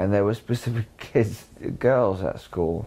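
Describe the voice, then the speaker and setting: A man's fairly low voice with a dark, mellow tone, ordinary pitch variation and a southern English accent. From southern England (Sussex, Lewes near Brighton). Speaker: conspiracy experiencer interviewee. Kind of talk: testimony. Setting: indoor room in England. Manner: halting.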